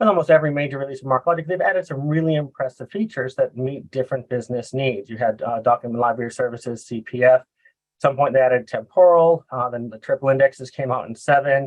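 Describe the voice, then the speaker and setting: With an American accent, a man speaks at a very fast pace, his medium pitch showing ordinary variation. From US Northeast, Boston. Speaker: software consultant. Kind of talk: presentation. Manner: halting, many fillers.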